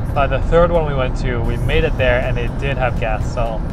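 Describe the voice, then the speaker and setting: A man's voice over loud background noise, dry with no echo. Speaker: vlogger. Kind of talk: casual vlog chat. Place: car. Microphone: lapel.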